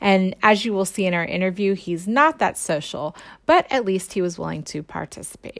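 In an unremarkable speaking voice, a woman of medium pitch talks at a moderate pace with lively intonation. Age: 40s. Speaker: educator and podcast host. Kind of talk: scripted narration; interview questions.

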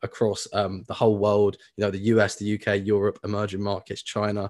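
A man with a British accent talks at a fairly quick pace in a fairly low voice. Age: 20s. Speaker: personal finance educator. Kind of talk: interview.

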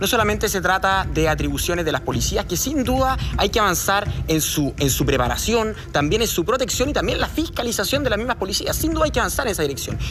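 Over music in the background, a man talks at a very fast pace with hardly any pauses and very even loudness. His high pitch moves in very wide swings. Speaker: political candidate. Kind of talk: televised debate.

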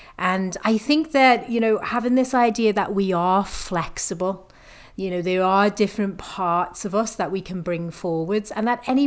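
A woman speaks at a medium pitch with a Liverpool accent. Her pitch varies in an ordinary way, and her pace is fairly slow. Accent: Liverpool (Scouse). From northern England, Liverpool. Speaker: fitness coach, podcast co-host. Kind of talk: casual chat.

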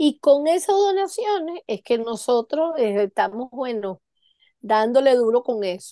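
Speaking at a fairly slow pace, a woman with a high-pitched, dark, mellow tone swings her pitch very widely in a dry, close sound with no echo. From Venezuela. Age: 50s. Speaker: charity founder. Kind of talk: interview.

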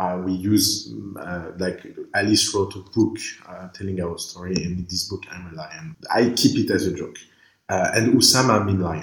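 A man speaks with a French accent at a moderate pace, his very deep, low pitch somewhat breathy, with ordinary pitch variation and big swings in loudness. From Lebanon, raised in France. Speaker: startup incubator co-founder and author. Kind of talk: interview. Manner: halting, many fillers and repetitions.

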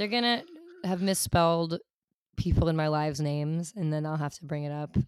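A woman speaks at a fairly quick pace. Her voice is very deep and low, with ordinary pitch variation. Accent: American. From New York City. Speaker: musician and poet. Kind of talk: casual chat.

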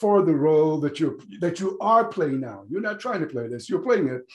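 With very wide pitch swings, a man speaks against a quiet background. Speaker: podcast host. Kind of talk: interview.

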